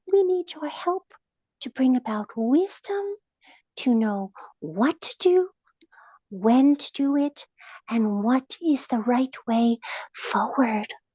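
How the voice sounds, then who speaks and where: A woman puts on a character voice with a high pitch and a soothing tone. She speaks at a fairly slow pace with long, frequent pauses. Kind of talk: guided meditation. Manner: slow, soothing.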